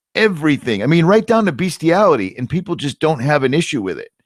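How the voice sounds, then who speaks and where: A man's animated voice with very wide pitch swings at a moderate pace, in a dry, close sound with no echo. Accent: Boston. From US Northeast, Boston. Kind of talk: casual chat. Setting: live stream.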